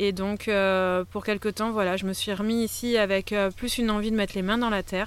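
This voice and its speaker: A woman at a medium pitch speaks at a moderate pace in a monotone, flat intonation, on a very clean recording with a silent background. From France, Pays d'Arles, Provence. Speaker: eco-site co-founder. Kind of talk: interview. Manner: halting.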